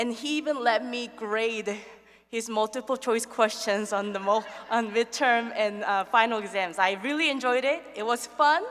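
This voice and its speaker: At a moderate pace, a woman with a non-native accent talks at a fairly high pitch with ordinary pitch variation. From another country. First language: not English. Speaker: nursing professor. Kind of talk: award acceptance speech. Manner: halting.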